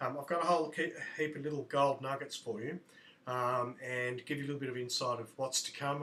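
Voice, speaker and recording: Someone with an Australian accent speaks at a fairly quick pace over noticeable background noise. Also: man. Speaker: fitness coach and vlogger. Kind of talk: video blog. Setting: indoors at standing desk. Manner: hesitant with fillers.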